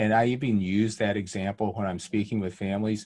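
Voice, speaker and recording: Against a quiet background, a plain, everyday voice moves at a fairly quick pace. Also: man. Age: 60s. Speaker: pediatric endocrinologist and author. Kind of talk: interview conversation.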